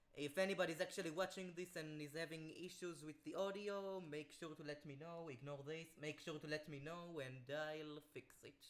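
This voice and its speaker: At a moderate pace with hardly any pauses, a fairly high-pitched man speaks with fairly even intonation. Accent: French. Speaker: streamer. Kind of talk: casual chat.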